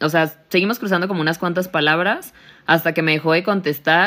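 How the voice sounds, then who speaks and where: At a fairly quick pace, a woman speaks with fairly low pitch and ordinary pitch variation. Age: 20s. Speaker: podcast co-host. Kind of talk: casual chat.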